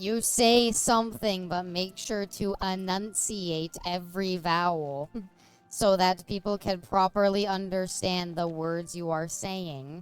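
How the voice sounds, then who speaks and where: With music in the background, a woman speaks very slowly with ordinary pitch variation. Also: medium pitch for a woman. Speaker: video game streamer. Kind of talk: casual gameplay commentary. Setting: live stream. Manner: mumbling; quiet, low volume.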